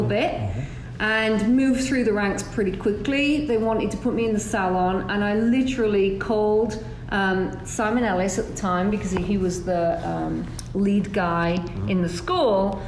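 A woman with an English accent speaks at a moderate pace and medium pitch with ordinary pitch variation, over noticeable background noise. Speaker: hairdressing educator. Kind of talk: interview.

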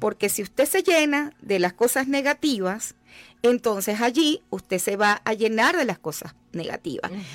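With very wide pitch swings, a woman talks at a moderate pace. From Venezuela, Llanos region. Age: 50s. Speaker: life coach and author. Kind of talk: radio interview. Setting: radio studio.

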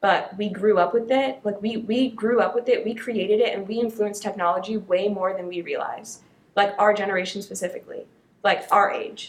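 A woman's fairly quick, fairly evenly intoned speech over noticeable background noise. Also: medium pitch for a woman. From Maryland, US (born in Detroit). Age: 20s. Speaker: podcast guest, college student. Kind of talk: casual chat.

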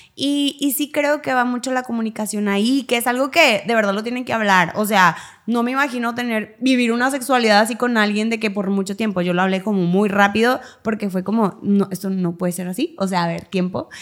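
Using an unremarkable speaking voice, a woman talks at a fairly quick pace with hardly any pauses, a fairly high pitch and ordinary pitch variation. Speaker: podcast co-host. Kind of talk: casual chat.

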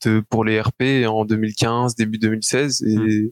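A medium-pitched man speaks in a flat monotone, the sound dry and close with no echo. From Belgium. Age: 20s. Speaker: esports player. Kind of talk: interview. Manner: halting.

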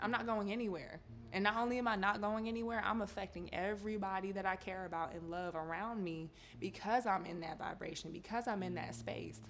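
Over audible room echo, a woman talks fairly quickly in an animated tone, her medium pitch showing ordinary variation. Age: 20s. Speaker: podcast host. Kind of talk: casual chat.

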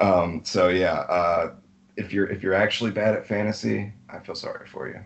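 Big swings in loudness at a moderate pace, in an American accent. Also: man. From Alabama. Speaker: fantasy football league member. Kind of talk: casual chat.

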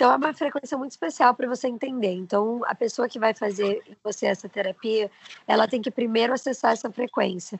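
A woman's fairly high voice at a fairly quick pace, with ordinary pitch variation, an ordinary speaking voice. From Brazil, Osasco (São Paulo). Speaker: social media influencer. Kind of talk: casual interview chat.

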